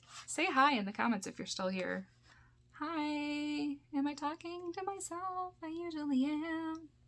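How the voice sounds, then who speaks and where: This is a woman's voice. She speaks in a Michigan accent. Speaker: YouTuber, VHS collector. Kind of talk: casual unboxing haul video. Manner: rambling, filler-heavy with frequent um and like.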